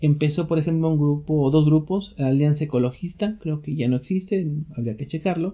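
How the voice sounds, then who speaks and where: Speech proceeds at a moderate pace. The pitch variation is ordinary. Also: man. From Mexico. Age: 40s. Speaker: lecturer, podcast host. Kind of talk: lecture. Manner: conversational, with filler hesitations.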